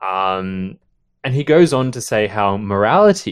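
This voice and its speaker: A man speaks in a normal speaking voice at a fairly low pitch, with ordinary pitch variation over a quiet background. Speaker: podcast host. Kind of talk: casual book-club chat. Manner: chatty, joking.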